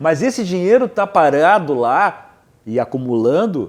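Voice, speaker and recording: Pitched high, a man's voice makes very wide pitch swings. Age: 60s. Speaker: cultural producer. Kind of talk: TV panel discussion. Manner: halting.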